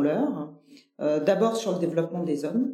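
A woman's voice with audible room echo. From Nîmes, southern France. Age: 40s. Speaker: company director. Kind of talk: interview conversation. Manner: hesitant, many fillers and repetitions.

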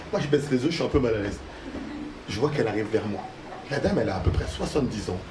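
Over noticeable background noise, a man at a medium pitch talks at a very fast pace. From Paris suburbs, France (Haitian family). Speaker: comedian. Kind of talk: stand-up; radio interview. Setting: stage with audience; studio.

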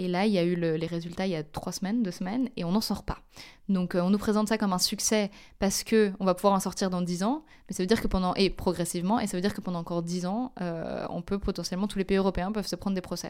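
A woman at a very fast pace, medium pitch and fairly even intonation, on a very clean recording with a silent background. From France (Paris). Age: 20s. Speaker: climate and social justice activist. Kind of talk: interview.

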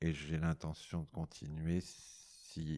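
With a dark, mellow tone, a man talks at a very deep, low pitch. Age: 60s. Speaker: amateur recorder player. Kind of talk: group discussion. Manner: halting.

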